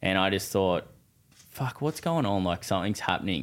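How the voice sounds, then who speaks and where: In a very clean recording with a silent background, a man with an Australian accent speaks at a very deep, low pitch with ordinary pitch variation. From Australia, New South Wales (Newcastle area). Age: 20s. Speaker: builder and property investor. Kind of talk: casual chat.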